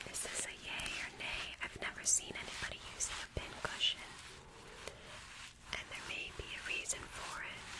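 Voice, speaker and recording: Whispering with long, frequent pauses amid noticeable background noise. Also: moderate pace. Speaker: ASMR livestreamer. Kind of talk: casual talk to livestream chat. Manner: soft-spoken.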